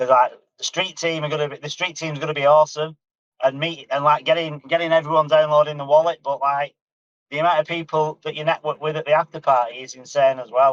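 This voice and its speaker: A man's very fast, fairly high-pitched voice in a Northern English accent, with monotone, flat intonation, big swings in loudness and a dry, close sound with no echo. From northern England, near Manchester. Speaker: community member, crypto video creator. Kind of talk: casual chat. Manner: halting, repeats words.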